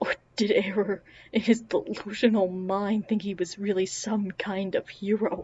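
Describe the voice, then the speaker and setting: The voice is somewhat breathy, with monotone, flat intonation. The pace is fairly slow. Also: woman, medium pitch for a woman. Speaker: audiobook narrator. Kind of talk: reading aloud. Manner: mumbling at times.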